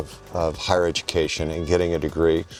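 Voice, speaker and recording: Music plays behind a man whose voice is pitched very deep and low. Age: 60s. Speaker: university president. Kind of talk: interview.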